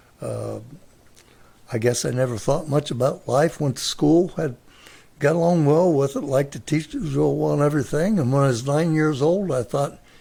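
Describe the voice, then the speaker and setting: Somewhat breathy, with a dark, mellow tone, this voice speaks at a moderate pace in an American accent with ordinary pitch variation. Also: man, fairly high pitch for a man. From US Midwest, Mansfield, Ohio. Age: 80s+. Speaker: grandfather sharing life stories. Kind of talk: interview.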